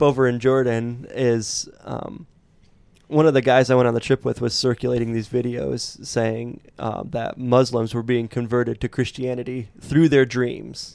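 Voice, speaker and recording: A man's plain, everyday voice at medium pitch and a moderate pace. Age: 30s. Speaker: podcast co-host. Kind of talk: casual chat.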